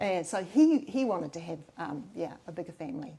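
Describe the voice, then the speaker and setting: In a New Zealand accent, a woman speaks at a moderate pace. Her tone is dark and mellow. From New Zealand, Waikato. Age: 60s. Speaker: mayoral candidate. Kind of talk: interview. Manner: hesitant, many fillers.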